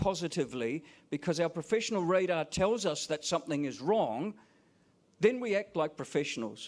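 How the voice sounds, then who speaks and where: Someone with a New Zealand accent speaks at a moderate pace with lively intonation. The recording is very clean, with a silent background. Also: man. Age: 60s. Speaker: professor and teacher. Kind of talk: conference keynote speech.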